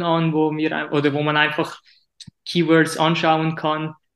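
This man's voice sits at a fairly high pitch. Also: quiet background. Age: 30s. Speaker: website business course participant. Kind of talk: interview. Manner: halting.

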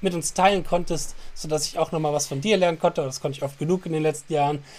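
Talking at a very fast pace, a man uses a high-pitched voice. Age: 30s. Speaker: podcast host and guitar teacher. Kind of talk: casual chat.

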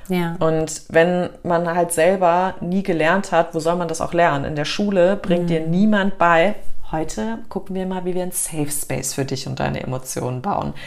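A woman speaks with ordinary pitch variation. Noticeable background noise and audible room echo surround her. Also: moderate pace. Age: 30s. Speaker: breathwork instructor. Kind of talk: casual interview chat; guided breathing exercise. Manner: calm.

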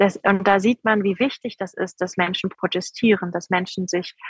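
A woman's somewhat breathy, medium-pitched voice at a moderate pace with fairly even intonation, dry and close with no echo. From Rhineland, Germany. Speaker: politician, member of parliament. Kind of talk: interview. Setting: remote call from outdoor protest site.

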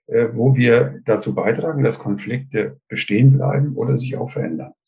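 A man's medium-pitched, dark, mellow voice with vocal fry, lively intonation and a moderate pace. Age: 70s. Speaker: retired communication trainer and author. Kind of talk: interview. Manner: hesitant, many filler sounds.

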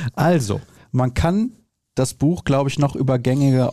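Against a quiet background, a man with a dark, mellow tone speaks at a medium pitch and a moderate pace. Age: 30s. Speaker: podcast host. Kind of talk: casual chat.

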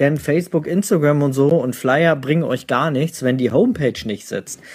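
A man with a fairly high pitch speaks at a moderate pace in an unremarkable speaking voice. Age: 30s. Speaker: newborn photographer and podcast host. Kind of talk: live Q&A session. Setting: livestream in home office.

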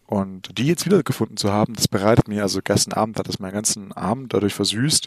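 In a dry, close recording with no echo, a man talks at a very fast pace in a fairly low pitch. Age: 20s. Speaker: podcast co-host. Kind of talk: casual chat. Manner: stammering repetitions. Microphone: Logitech Pro X headset.

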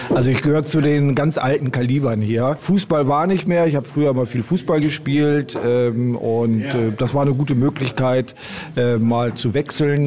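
A man speaks at a moderate pace with a medium pitch. Noticeable background noise runs under his voice. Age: 60s. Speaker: amateur darts player. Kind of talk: interview.

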